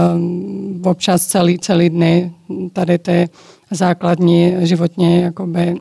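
Dark and mellow in tone, the voice keeps a monotone, flat intonation. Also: woman. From Georgia, moved to Czechia at eight. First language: Georgian (speaking Czech). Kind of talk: interview. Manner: hesitant, many fillers.

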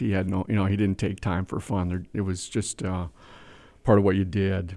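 A man with an Upper Midwest accent, very deep and low in pitch, monotone and flat, on a very clean recording over a silent background. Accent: Upper Midwest American. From Wisconsin (Whitehall, small town). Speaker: manufacturing company CEO. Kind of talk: interview.

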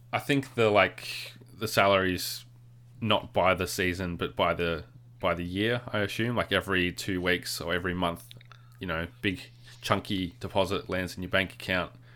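Bright and sharp in tone, a man's very deep, low voice carries an Australian accent with ordinary pitch variation. The recording is very clean, with a silent background. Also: moderate pace. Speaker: podcast co-host. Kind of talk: casual chat.

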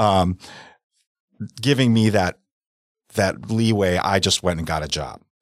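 A man with an American accent at a fairly low pitch, ordinary pitch variation, a fairly slow pace, and long, frequent pauses. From US Midwest, South Milwaukee, Wisconsin. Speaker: real estate broker. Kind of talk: casual interview.

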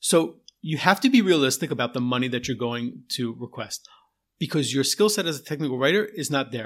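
A man with a normal speaking voice talks at a fairly quick pace with lively intonation and fairly high pitch. The recording is very clean, with a silent background. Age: 40s. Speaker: podcast host and technical writer. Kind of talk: solo podcast monologue. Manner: casual with frequent fillers.

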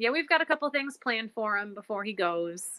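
In an American accent, a woman talks at a fairly quick pace with a medium pitch and an unremarkable speaking voice. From Illinois. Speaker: dog owner. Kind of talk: interview.

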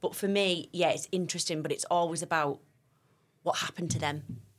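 In a very clean recording with a silent background, a woman speaks with a Teesside accent. Her pitch is fairly low and her intonation fairly even. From Teesside, northern England (Stockton). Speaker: youth worker. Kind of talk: interview. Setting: studio.

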